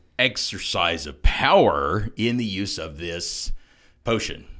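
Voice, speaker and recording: A man at medium pitch with vocal fry. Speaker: podcast co-host, former pastor. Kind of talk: discussion of theology, conversational teaching.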